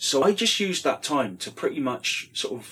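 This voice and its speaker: This man has a bright, sharp tone and speaks with a British accent. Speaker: podcast host, former pro wrestler. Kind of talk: casual interview chat.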